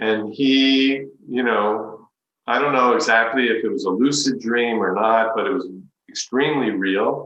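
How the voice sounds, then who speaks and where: In a room with audible echo, a man speaks fairly slowly at a medium pitch with ordinary pitch variation. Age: 60s. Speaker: spiritual teacher. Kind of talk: talk.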